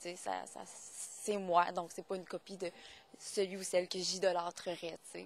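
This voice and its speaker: Vocal fry runs through a woman's fairly low-pitched voice as she speaks at a fairly slow pace with monotone, flat intonation. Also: big swings in loudness. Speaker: singer-songwriter. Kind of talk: interview answer. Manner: casual, conversational.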